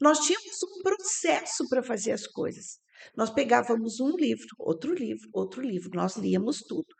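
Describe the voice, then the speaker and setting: A woman with a high pitch talks at a moderate pace, her voice making very wide pitch swings. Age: 60s. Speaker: systemic organizational therapist. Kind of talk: podcast interview.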